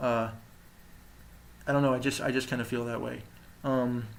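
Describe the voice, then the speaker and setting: A man's medium-pitched voice carries audible echo from the room. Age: 20s. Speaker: vlogger documenting his jaw surgery. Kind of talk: personal video diary. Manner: halting, many fillers and restarts.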